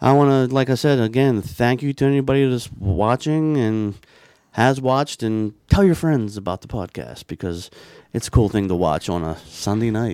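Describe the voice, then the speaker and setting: A man's medium-pitched voice, dark and mellow, with lively intonation at a moderate pace on a very clean recording with a silent background. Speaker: podcast co-host. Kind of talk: casual chat. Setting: studio.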